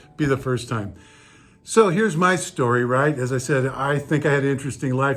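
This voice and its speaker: A man talks at a fairly quick pace with medium pitch. Noticeable background noise runs underneath. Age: 60s. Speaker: real estate agent. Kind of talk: casual vlog talk. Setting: outdoors, then indoors.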